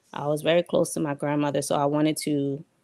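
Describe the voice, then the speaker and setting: This woman speaks with a Liberian accent. Her pace is moderate. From New York, US (Queens), Liberian parents. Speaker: diaspora guest on talk show. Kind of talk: interview storytelling.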